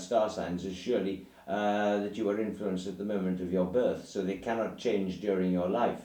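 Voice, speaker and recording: A man speaks at a moderate pace in a fairly low voice, with an English accent and audible room echo. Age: 60s. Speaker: writer. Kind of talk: casual chat. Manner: halting.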